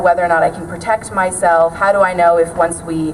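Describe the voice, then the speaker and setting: Noticeable background noise runs under this woman's speech. Her medium-pitched voice moves at a fairly quick pace. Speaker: student activist. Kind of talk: rally speech. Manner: loud.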